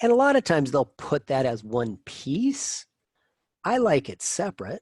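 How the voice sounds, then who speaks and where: With a dry, close sound and no echo, a man talks at a fairly high pitch that swings very widely. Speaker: math professor. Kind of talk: lecture. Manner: fast.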